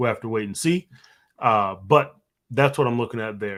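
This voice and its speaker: A man uses an unremarkable speaking voice, fairly low in pitch. He goes at a fairly quick pace with fairly even intonation. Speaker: trading coach. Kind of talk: live trading session tutorial. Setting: live stream.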